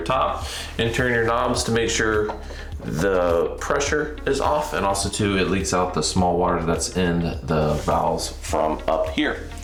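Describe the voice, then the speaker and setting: A man speaks at a fairly slow pace in a very deep, low pitch. Audible room echo and noticeable background noise surround him. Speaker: YouTube DIY host. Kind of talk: DIY tutorial. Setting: small bathroom, under the sink. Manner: whispering. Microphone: echoey.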